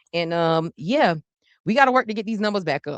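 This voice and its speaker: A woman talks at a very fast pace with lively intonation and an animated tone. The sound is dry and close with no echo, over a quiet background. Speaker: podcast host. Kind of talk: casual show sign-off. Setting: livestream with chat.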